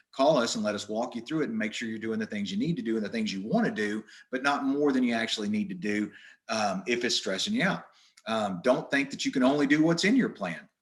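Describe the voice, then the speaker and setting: With an American accent and lively intonation, a man talks at a very fast pace in a medium pitch. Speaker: wildlife management presenter. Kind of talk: webinar presentation. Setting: online webinar.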